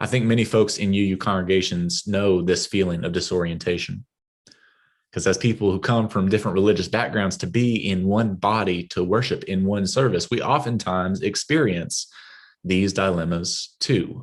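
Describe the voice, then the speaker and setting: A fairly low-pitched man with a West Texas accent and fairly even intonation, over a quiet background. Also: moderate pace. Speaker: guest preacher, minister. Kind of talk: sermon.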